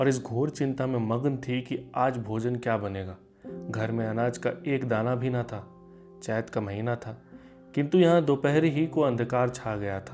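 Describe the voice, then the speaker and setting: Music plays in the background while a man talks. His pitch is medium and varies in an ordinary way. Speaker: theatre actor. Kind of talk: short story narration. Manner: emotional, performed.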